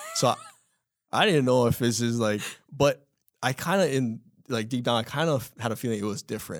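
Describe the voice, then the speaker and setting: Speaking fairly quickly with a Hawaiian accent, a man at medium pitch uses ordinary pitch variation and takes long, frequent pauses. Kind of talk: casual interview chat. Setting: studio.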